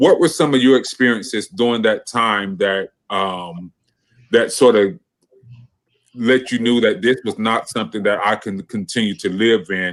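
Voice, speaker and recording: With an unremarkable speaking voice, a man talks moderately fast at a medium pitch, his pitch varying in an ordinary way. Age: young. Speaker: talk show host. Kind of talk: online panel interview.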